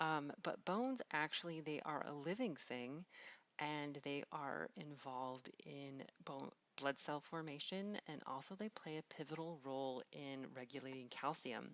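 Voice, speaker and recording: Speaking at a fairly slow pace, a woman with a very deep, low pitch shows ordinary pitch variation. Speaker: biology teacher. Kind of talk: lecture.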